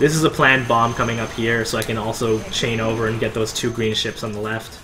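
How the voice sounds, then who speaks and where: A man speaks at a fairly quick pace and medium pitch. His intonation is monotone and flat, with noticeable background noise. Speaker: gamer giving commentary on own run. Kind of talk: gameplay commentary. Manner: fast; casual with many fillers.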